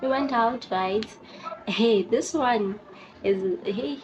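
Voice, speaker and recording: A woman at a very slow pace with ordinary pitch variation, amid noticeable background noise. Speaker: YouTuber. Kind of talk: casual storytelling vlog. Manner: animated.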